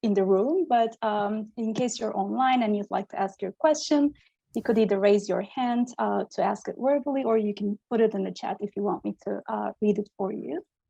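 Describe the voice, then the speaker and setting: With a dark, mellow tone and a fairly high pitch, a woman speaks at a moderate pace with ordinary pitch variation, the sound dry and close with no echo. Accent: Turkish. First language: Turkish. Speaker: symposium moderator. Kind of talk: Q&A moderation.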